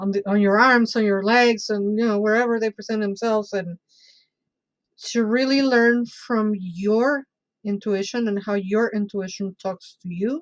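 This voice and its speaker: A woman speaks with a Spanish accent. Her pitch is fairly high and her intonation fairly even. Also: moderate pace. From Mexico City, Mexico. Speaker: bruja and tarot reader. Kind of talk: casual interview chat.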